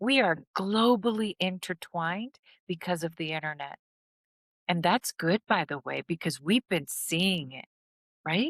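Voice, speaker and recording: With a non-native accent, a woman speaks at a fairly slow pace in a fairly low voice with lively intonation and big swings in loudness, in a very clean, silent-background recording with a dry, close sound and no echo. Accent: non-American accent, speaker notes it herself. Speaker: healing and trauma recovery content creator. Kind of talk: motivational talk to viewers.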